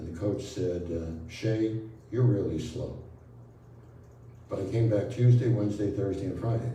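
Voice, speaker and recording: Speaking at a moderate pace in an American accent, a man has a fairly low pitch with ordinary pitch variation, and audible room echo surrounds his voice. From Brooklyn, New York. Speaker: spiritual healer. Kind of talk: talk to an audience.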